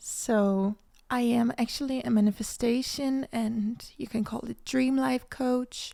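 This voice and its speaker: A woman with a Danish accent and a fairly high voice, dark and mellow in tone, fairly slow, with fairly even intonation. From Denmark. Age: 20s. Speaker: manifestation coach, podcast host. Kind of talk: casual podcast monologue.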